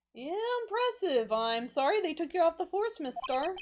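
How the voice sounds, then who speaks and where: Putting on a character voice at a moderate pace, a woman speaks at an extremely high pitch with very wide pitch swings. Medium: game stream.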